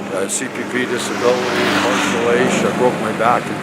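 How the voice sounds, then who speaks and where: The speaker goes at a fairly slow pace, with audible room echo and noticeable background noise. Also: man. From Edmonton, Canada. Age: 60s. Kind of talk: street interview, personal story. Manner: halting, repetitive.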